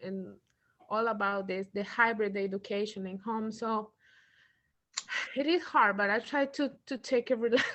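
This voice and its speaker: Fairly slow speech from a woman with a Spanish accent, fairly high in pitch, with fairly even intonation. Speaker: parent. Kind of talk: workshop introduction.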